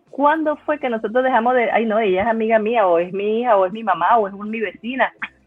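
Over noticeable background noise, a woman speaks at a very fast pace with hardly any pauses. Her pitch is fairly high. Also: ordinary pitch variation. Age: 50s. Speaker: laughter therapist. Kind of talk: conference talk.

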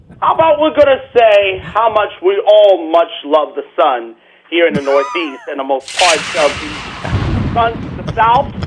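Delivered at a fairly slow pace with very wide pitch swings, the speech has an American accent and noticeable background noise. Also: man, high pitch for a man. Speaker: caller. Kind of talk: casual chat. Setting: phone call.

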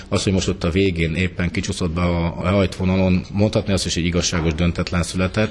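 A man talks in a very deep, low voice with monotone, flat intonation. Background noise is noticeable. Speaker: handball club manager and coach. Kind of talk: radio interview.

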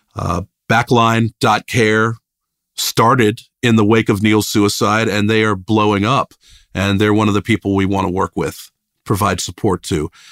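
The sound is dry and close with no echo, on a very clean recording with a silent background. The speech comes at a moderate pace with an American accent and flat, monotone intonation. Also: man, fairly low pitch for a man. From Richmond, Virginia (US South). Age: 50s. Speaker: rock bassist. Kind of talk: casual interview chat.

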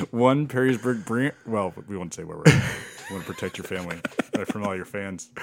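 Over noticeable background noise, a man talks at a fairly quick pace in a medium-pitched voice. His intonation is lively and his loudness swings widely. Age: 40s. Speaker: podcast cohost. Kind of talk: casual chat.

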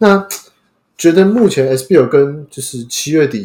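A man is speaking. His intonation is lively. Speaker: podcast host. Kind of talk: casual chat.

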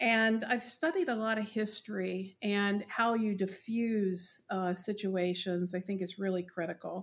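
In a normal speaking voice, a woman with an American accent talks at a fairly slow pace with hardly any pauses, medium pitch and fairly even intonation. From West Virginia. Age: 60s. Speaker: industry analyst. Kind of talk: interview.

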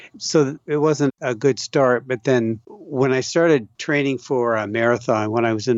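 Here is a man with a normal speaking voice. He keeps a moderate pace and ordinary pitch variation. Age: 60s. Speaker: ultramarathon runner and author. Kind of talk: casual interview chat.

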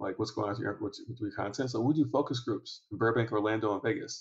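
Very fast and somewhat breathy, a man talks with an American accent at a medium pitch. His intonation is lively. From Michigan, Detroit area. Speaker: entrepreneur and venture investor. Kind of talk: podcast interview. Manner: casual, frequent fillers.

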